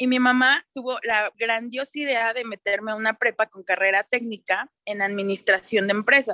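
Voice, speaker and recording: A bright, sharp tone with fairly even intonation comes at a moderate pace with hardly any pauses and big swings in loudness, in a dry, close sound with no echo. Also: woman, fairly high pitch for a woman. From Mexico, Toluca. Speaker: sustainability consultant, fashion designer. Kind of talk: interview, casual chat.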